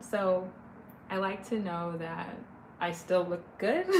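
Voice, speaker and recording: Against noticeable background noise, a woman speaks with a West Coast US accent. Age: 30s. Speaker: livestreamer. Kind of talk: casual chat. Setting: live stream. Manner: animated.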